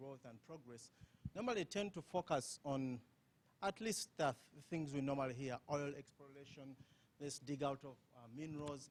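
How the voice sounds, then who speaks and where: Speaking in a strong Ugandan accent, a man with a fairly high pitch keeps a moderate pace and ordinary pitch variation. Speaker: conference panelist. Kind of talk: panel discussion. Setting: conference with audience.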